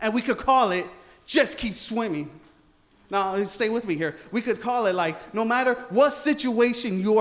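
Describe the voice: The pitch moves in an ordinary way. Someone is doing plain reading aloud.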